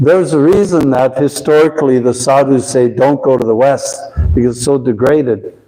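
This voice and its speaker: At a fairly quick pace, a man speaks at a fairly high pitch with ordinary pitch variation. His loudness stays very even over noticeable background noise. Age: 70s. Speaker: spiritual teacher. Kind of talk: lecture.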